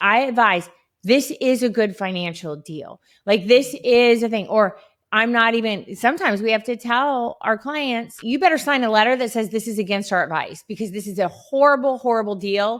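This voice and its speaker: A woman with an unremarkable speaking voice talks at a moderate pace, her fairly high pitch showing ordinary variation, on a very clean recording with a silent background. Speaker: divorce lawyer. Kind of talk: casual interview chat.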